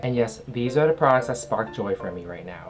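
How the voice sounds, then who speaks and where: Fairly quick delivery against noticeable background noise. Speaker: skincare reviewer. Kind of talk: product review vlog. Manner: casual, chatty.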